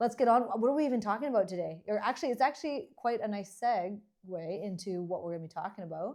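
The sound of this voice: Speaking at a fast pace, the voice has a slightly mellow tone and ordinary pitch variation. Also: woman, medium pitch for a woman.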